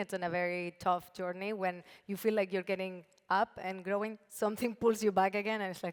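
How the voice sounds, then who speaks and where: A woman talks at a moderate pace with a Spanish accent. Her intonation is monotone and flat. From Spain, Barcelona. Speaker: brand founder and CEO. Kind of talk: panel discussion.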